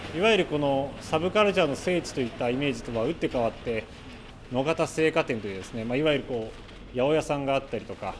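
With lively intonation, a man speaks at a very fast pace. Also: fairly high pitch for a man. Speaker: radio reporter and interviewer. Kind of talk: on-location report. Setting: underground shopping arcade. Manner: loud, carrying voice; many filler words.

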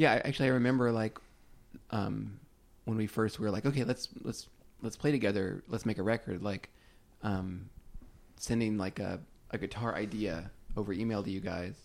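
This man speaks with an American accent at a moderate pace, with ordinary pitch variation. Long, frequent pauses run through his speech. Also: fairly low pitch for a man. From Oklahoma and Texas. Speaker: indie rock band member. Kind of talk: casual chat. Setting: apartment in Brooklyn.

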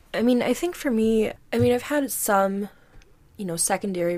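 A woman speaks in a normal speaking voice with an American accent. Her intonation is lively. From US Midwest (Missouri). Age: 20s. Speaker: podcast guest. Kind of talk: casual chat.

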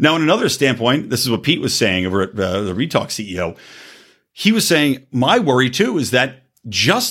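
A man speaks at a moderate pace in an animated tone with vocal fry and very wide pitch swings, on a very clean recording with a silent background. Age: 40s. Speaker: podcast host. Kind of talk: casual monologue.

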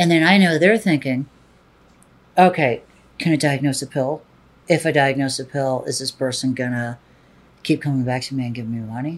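A woman with a very deep, low pitch speaks at a moderate pace, using ordinary pitch variation and long, frequent pauses. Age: 40s. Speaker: adult film performer and director. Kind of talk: interview.

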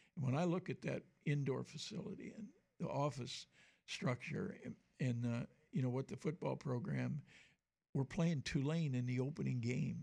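A man with a dark, mellow, somewhat breathy tone speaks with long, frequent pauses. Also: medium pitch for a man, ordinary pitch variation, moderate pace. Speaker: fill-in radio co-host, retired college sports official. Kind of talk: casual chat.

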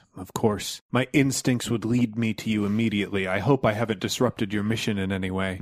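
This man uses a put-on character voice. His pitch sits fairly low. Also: fairly quick pace, fairly even intonation. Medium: actual play. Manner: formal, earnest, dramatic.

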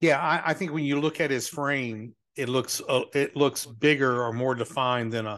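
A man at medium pitch speaks at a moderate pace with ordinary pitch variation and a bright, sharp tone, against a quiet background. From Louisiana. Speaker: podcast host. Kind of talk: casual chat.

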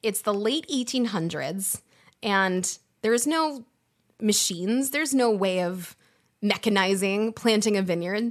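Against a quiet background, a woman with a medium pitch talks at a fairly slow pace. Her tone is enthusiastic and animated, with lively intonation. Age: 30s. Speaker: wine podcast host, former sommelier. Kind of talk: live-streamed wine podcast monologue. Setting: live-streamed recording. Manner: enthusiastic, animated.

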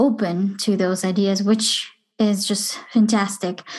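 A woman's somewhat breathy, medium-pitched voice, very slow and flat in a monotone. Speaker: podcast host. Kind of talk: casual interview.

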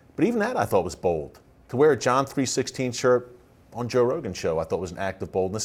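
In a very clean recording with a silent background, a man with vocal fry talks very fast at a medium pitch, making very wide pitch swings. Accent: American. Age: 40s. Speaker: podcast host. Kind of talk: interview.

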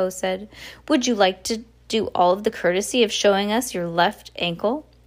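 A natural voice for reading, its pitch varying in an ordinary way

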